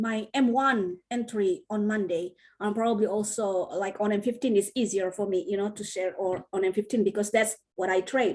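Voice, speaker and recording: The speaker, with a non-native accent, goes at a fairly quick pace with hardly any pauses. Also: woman. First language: not English. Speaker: trading teacher. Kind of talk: online class Q&A. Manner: sounds like teaching a kid.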